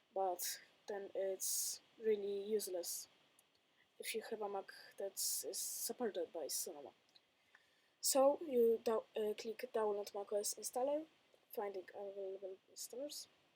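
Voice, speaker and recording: A woman with a Polish accent speaks at a fairly slow pace with long, frequent pauses, her fairly high-pitched voice dark and mellow in tone with ordinary pitch variation. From Poland. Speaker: tech youtuber. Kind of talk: tutorial. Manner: halting.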